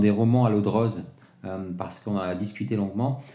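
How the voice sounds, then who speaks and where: A man with a fairly low pitch and a dark, mellow tone, at a fairly quick pace with ordinary pitch variation, with audible room echo. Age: 40s. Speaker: podcast host. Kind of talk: interview. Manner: animated.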